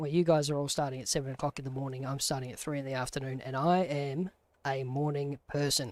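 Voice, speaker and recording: A man with an Australian accent, talking at a fairly quick pace. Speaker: gaming streamer. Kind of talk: live gameplay stream commentary. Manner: casual, conversational.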